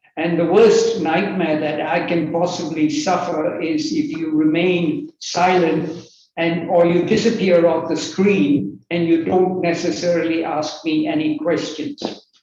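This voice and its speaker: A man with a high voice talks at a fairly slow pace with hardly any pauses and ordinary pitch variation, in audible room echo. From Malaysia. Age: 80s+. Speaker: workshop speaker. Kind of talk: online professional talk.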